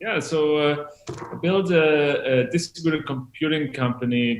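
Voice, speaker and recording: With a German accent, a man talks at a fairly slow pace in a fairly high pitch with ordinary pitch variation. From Germany. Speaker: tech company executive. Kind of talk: interview.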